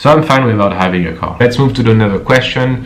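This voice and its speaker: A man speaks in a French accent with ordinary pitch variation. Noticeable background noise can be heard. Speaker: personal trainer. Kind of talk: casual Q&A talk to camera.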